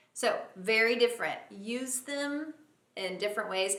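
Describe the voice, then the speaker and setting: A woman with an American accent, an unremarkable speaking voice, fairly high pitch and lively intonation. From United States. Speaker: English teacher. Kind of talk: English lesson talk to camera.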